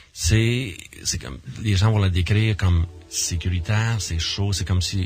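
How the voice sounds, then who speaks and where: A man with a Quebec accent speaks at a fairly slow pace with ordinary pitch variation, music playing in the background. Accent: Québécois French. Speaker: near-death experiencer and association director. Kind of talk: radio interview. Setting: radio studio. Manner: halting, many repetitions and fillers.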